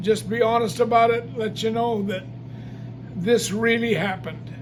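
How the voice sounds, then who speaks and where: A man with an American accent and a high voice speaks amid noticeable background noise and audible room echo. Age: 80s+. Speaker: gospel singer and evangelist. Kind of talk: testimony. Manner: halting.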